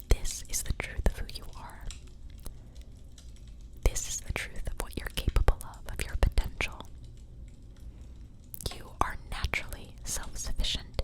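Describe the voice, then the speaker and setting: A woman whispers in a gentle tone with long, frequent pauses and big swings in loudness, over noticeable background noise. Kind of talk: ASMR tarot reading. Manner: whispered, soft-spoken, gentle.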